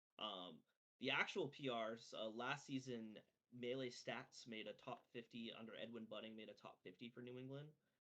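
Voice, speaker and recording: A man with a Maine accent talks at a moderate pace in a bright, sharp tone. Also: medium pitch for a man, fairly even intonation. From Maine, Bangor area. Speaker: esports player. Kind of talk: podcast interview. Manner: filler-heavy casual speech.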